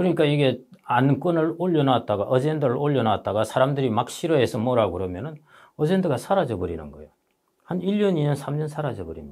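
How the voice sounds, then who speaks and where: With vocal fry and very wide pitch swings, the speech moves at a fairly quick pace over a quiet background. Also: man, big swings in loudness. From South Korea. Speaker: economist and book author; guest. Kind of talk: interview. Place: studio. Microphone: lapel.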